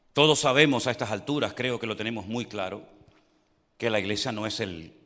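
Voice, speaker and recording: Animated and bright with a sharp tone, a man speaks at a fairly quick pace with lively intonation, and audible room echo surrounds him. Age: 60s. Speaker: pastor. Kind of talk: sermon.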